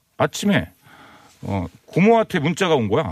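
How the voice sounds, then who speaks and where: A man speaks at a moderate pace with vocal fry and very wide pitch swings, the sound dry and close with no echo. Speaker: comedian. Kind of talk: casual chat.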